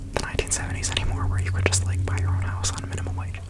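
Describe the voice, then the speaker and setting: Whispering at a very fast pace comes through over noticeable background noise. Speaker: ASMR creator. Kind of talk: ASMR whisper ramble. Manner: whispered; casual, rambling.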